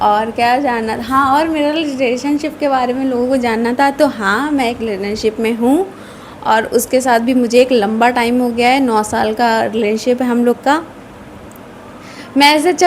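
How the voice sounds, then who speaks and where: Noticeable background noise sits under a woman speaking high at a moderate pace, with ordinary pitch variation. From northern India, Uttar Pradesh (Kanpur). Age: 20s. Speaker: vlogger. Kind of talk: casual chat.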